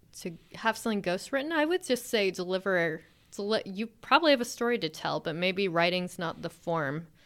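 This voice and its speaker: The recording is very clean, with a silent background. A woman with a plain, everyday voice talks at a medium pitch and a fairly quick pace, using lively intonation. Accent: American. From US South (Alabama), mostly grew up in California. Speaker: science fiction author. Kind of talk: interview.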